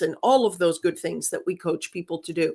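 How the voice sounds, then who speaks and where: A woman with a Greek accent, in a very clean recording with a silent background. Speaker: business communication professor. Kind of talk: interview.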